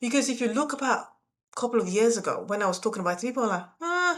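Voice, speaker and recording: Lively intonation with a non-native accent. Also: woman. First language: not English. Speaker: YouTube coach for sign language interpreters. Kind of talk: motivational talk to camera. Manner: expressive, conversational.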